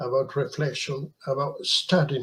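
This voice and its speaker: This man has a fairly high, somewhat breathy voice. He speaks at a fairly slow pace with fairly even intonation. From Peru. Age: 70s. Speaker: journalist. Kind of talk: interview.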